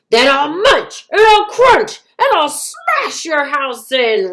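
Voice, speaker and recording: A woman in a put-on character voice bellows and growls at an extremely high pitch. She speaks at a very slow pace, with very wide pitch swings. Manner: roaring, menacing.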